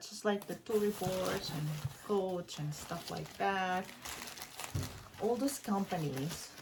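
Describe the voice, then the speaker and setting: A woman speaks at a fairly slow pace with a medium pitch. Her voice is somewhat breathy, with ordinary pitch variation. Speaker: unboxing and review vlogger. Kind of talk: product unboxing vlog. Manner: animated, frequent exclamations; stumbling, self-correcting when excited.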